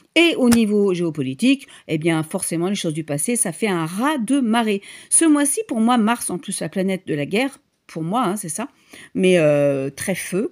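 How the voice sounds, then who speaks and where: At a fairly slow pace, a woman with a medium pitch speaks with very wide pitch swings. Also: very clean recording, silent background. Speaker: tarot reader and medium. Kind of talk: tarot reading monologue. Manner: halting, many fillers.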